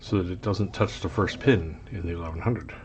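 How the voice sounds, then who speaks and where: Somewhat breathy, the voice moves at a fairly quick pace. Its pitch variation is ordinary. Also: man. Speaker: locksport hobbyist youtuber. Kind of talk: casual show-and-tell tutorial. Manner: hesitant, many ums and uhs.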